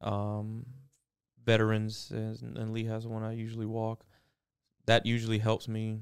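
Monotone and flat, a man talks at a medium pitch and a fairly slow pace, with long, frequent pauses. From Miami, Florida. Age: 30s. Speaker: roofing company owner. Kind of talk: podcast interview. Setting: studio.

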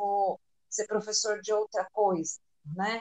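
A woman's voice at a very slow pace, with a dry, close sound and no echo. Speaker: psychologist. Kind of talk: casual chat.

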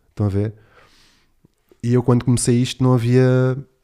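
A dark, mellow tone at a fairly quick pace, dry and close with no echo. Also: man. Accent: European Portuguese. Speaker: podcast host. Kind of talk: casual solo monologue.

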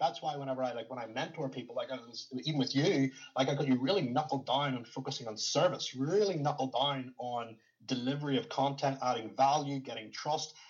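With a plain, everyday voice, a man talks at a fairly quick pace in a fairly high pitch with ordinary pitch variation. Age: 30s. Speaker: fitness coach and former bodybuilder. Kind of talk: interview conversation.

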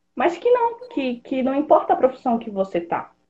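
The voice is a woman's, dark and mellow in tone. There is a somewhat breathy quality to it. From Pará, northern Brazil. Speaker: software developer. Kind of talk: podcast interview.

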